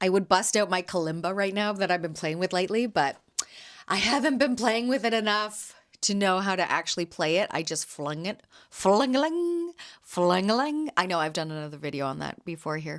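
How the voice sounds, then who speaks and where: With lively intonation and an animated tone, a woman speaks at a medium pitch. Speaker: podcast host and jam vendor. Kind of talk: casual solo podcast chat. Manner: loud.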